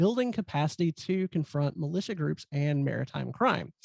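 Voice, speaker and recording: A moderate pace in a Southern US accent, against a quiet background. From US South. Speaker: event host. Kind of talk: speaker introduction. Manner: hesitant, many fillers.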